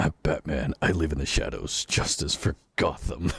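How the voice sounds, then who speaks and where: Using a raspy, put-on character voice, a man speaks at a moderate pace in a dry, close sound with no echo. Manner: dumb, exaggerated.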